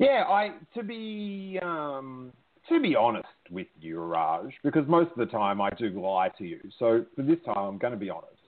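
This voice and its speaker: Animated and moderately paced, a man's voice shows very wide pitch swings and big swings in loudness. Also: medium pitch for a man. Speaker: comedian podcast host. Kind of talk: casual call-in show chat. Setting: phone call-in show. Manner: jokey, animated.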